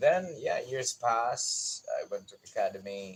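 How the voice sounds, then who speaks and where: In a Visayan Filipino accent, a man speaks at a fairly slow pace. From Philippines, Bisaya-speaking region. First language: Bisaya (Cebuano). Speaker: gardening YouTuber. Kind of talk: personal life story on livestream. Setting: outdoors in garden at dawn.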